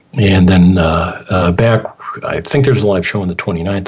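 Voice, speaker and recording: The voice belongs to a man and sounds somewhat breathy. He keeps a medium pace. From Michigan, Detroit. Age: 60s. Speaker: radio host. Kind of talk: radio interview. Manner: halting, many fillers.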